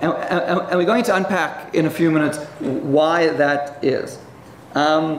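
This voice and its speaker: A man talks at a very slow pace over noticeable background noise, with audible echo in the room. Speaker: economist debater. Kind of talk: debate presentation. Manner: halting, many fillers and repetitions.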